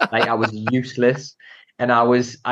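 Against a quiet background, a man with a Geordie accent speaks at a medium pitch. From Newcastle, northern England. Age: 30s. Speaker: entrepreneur and property investor. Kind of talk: casual interview.

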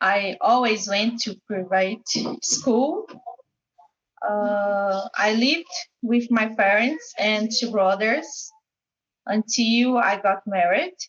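A woman with a fairly high, somewhat breathy voice speaks at a very slow pace with ordinary pitch variation and long, frequent pauses. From Goiânia, Brazil. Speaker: English student. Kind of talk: reading aloud. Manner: halting.

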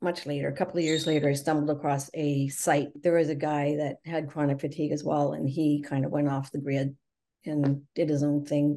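Fairly quick, a woman speaks in a very deep, low voice with a dark, mellow tone. Her intonation stays monotone and flat against a quiet background. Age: 60s. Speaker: chronic fatigue patient sharing recovery story. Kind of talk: interview testimony.

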